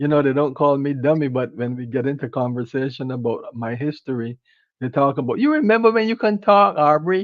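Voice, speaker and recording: Here is a man with a Barbadian accent and a fairly high pitch. He talks at a fairly quick pace with lively intonation. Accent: Barbadian (Bajan). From Barbados. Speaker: empowerment speaker. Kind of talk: interview conversation. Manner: halting.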